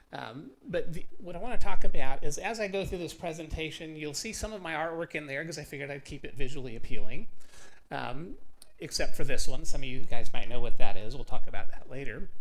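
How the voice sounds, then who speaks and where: This man's voice sits at a fairly high pitch and carries vocal fry. His intonation is lively. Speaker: artist and bitcoin advocate giving a talk. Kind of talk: presentation to a live meetup audience. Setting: stage with audience. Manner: loud; casual, conversational.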